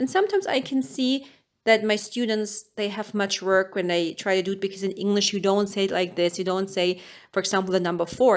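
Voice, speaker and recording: Over a very clean recording with a silent background, a woman speaks at a medium pitch with a German accent. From Germany. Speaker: language teacher. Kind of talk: tutorial.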